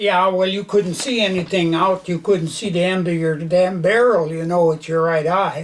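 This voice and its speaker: A man with an American accent and a high voice speaks at a moderate pace with fairly even intonation and hardly any pauses over noticeable background noise. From northwestern Minnesota. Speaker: war veteran. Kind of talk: oral history interview. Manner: halting, many fillers.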